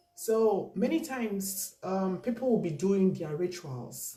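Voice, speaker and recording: Over music in the background, the voice moves very slowly with lively intonation. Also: woman. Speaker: spiritual teacher. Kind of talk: spiritual teaching monologue.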